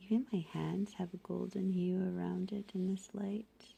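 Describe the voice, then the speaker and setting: Speaking at a fairly slow pace, a woman has a dark, mellow tone, medium pitch, a somewhat breathy quality, and fairly even intonation. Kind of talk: ASMR whisper talk to camera. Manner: whispered.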